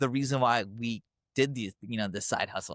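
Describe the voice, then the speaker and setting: In a dry, close sound with no echo, a man of medium pitch uses an unremarkable speaking voice at a fairly quick pace with ordinary pitch variation. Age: 30s. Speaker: physician turned car wash owner. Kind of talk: casual interview.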